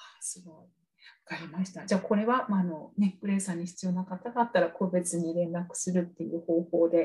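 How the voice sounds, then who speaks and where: Somewhat breathy and at a fairly quick pace, the voice shows big swings in loudness and ordinary pitch variation. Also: woman, medium pitch for a woman. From Oita, Kyushu, Japan. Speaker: English speaking coach and podcast host. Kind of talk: interview.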